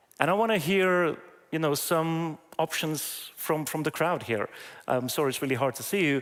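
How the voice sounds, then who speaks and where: On a very clean recording with a silent background, a man with a non-native accent speaks at a moderate pace in a fairly high voice with ordinary pitch variation. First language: not English. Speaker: AI trainer, conference keynote speaker. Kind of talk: conference talk. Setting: stage with audience. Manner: hesitant, many fillers.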